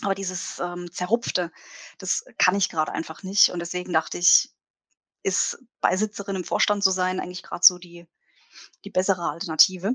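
Fairly quick speech broken by long, frequent pauses, flat and monotone in intonation, with big swings in loudness and a dry, close sound free of echo. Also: woman, medium pitch for a woman. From Baden, southwest Germany. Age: 30s. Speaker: web designer and community member. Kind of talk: interview. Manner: hesitant, many fillers and restarts; frequent laughter.

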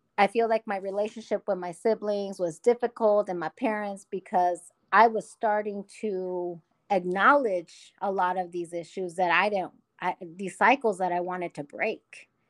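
A woman with an American accent speaks in an unremarkable speaking voice, medium in pitch, with fairly even intonation at a moderate pace. The sound is dry and close with no echo against a quiet background. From Omaha, US Midwest. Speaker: educator. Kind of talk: casual chat.

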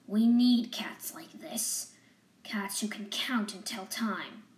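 A woman puts on a gruff character voice, fairly high in pitch, and speaks at a very slow pace. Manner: gruff, brisk, determined.

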